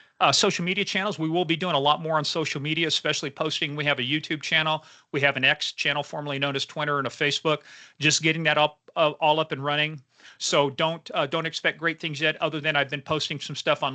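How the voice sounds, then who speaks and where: In a dry, close recording with no echo and a quiet background, a man with an American accent and a fairly high pitch speaks at a very fast pace in a bright, sharp tone with monotone, flat intonation. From Kansas. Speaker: founder presenting a case platform, former state trooper. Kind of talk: webinar presentation. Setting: online webinar.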